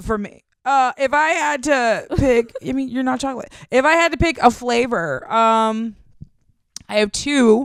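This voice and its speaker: A loud, high-pitched woman's voice at a fairly slow pace with lively intonation. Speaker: comedian. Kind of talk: casual chat.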